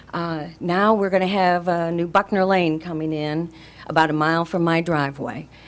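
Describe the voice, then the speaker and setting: At a moderate pace, a woman talks in an ordinary speaking voice, pitched fairly low with ordinary pitch variation. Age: 60s. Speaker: resident speaking at public comment. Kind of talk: public comment at county meeting. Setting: public meeting room.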